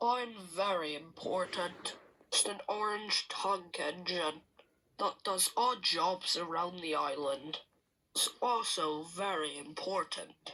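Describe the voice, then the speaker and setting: At a fairly slow pace, a put-on character voice speaks from a middle pitch. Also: female-sounding voice. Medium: read story. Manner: pompous, self-important.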